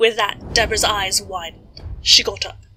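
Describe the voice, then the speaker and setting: A woman is talking while noticeable background noise fills the clip. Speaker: horror story narrator. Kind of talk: horror story reading.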